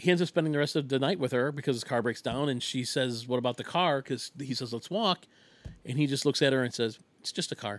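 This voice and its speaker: The recording is very clean, with a silent background. A man speaks at a very fast pace in a medium pitch. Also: ordinary pitch variation. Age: 40s. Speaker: solo podcast host, movie reviewer. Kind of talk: casual monologue movie review.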